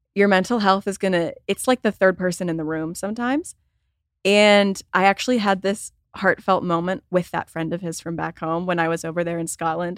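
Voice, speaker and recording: A woman at medium pitch with fairly even intonation and a fairly quick pace, in a dry, close sound with no echo on a very clean recording with a silent background. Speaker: content creator. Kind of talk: casual chat. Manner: relaxed, calm.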